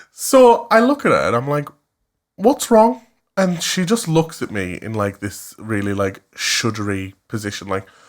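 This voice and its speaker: A man with a Cumbrian accent speaks at a fairly slow pace in a fairly high voice. His tone is animated, and his pitch swings very widely. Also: very clean recording, silent background. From West Cumbria, England. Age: 20s. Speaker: podcast co-host. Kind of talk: casual chat.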